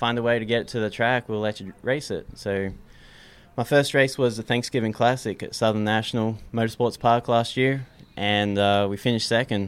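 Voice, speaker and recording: Speaking with an American accent, a man with a medium pitch talks at a moderate pace in a monotone, flat intonation. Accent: Australian with some American. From Australia. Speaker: race car mechanic. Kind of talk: casual interview.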